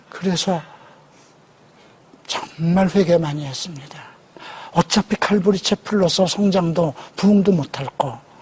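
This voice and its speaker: Long, frequent pauses break up the speech, and background noise is noticeable. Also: man, high pitch for a man, ordinary pitch variation, fairly slow pace. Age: 60s. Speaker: pastor. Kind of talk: testimony.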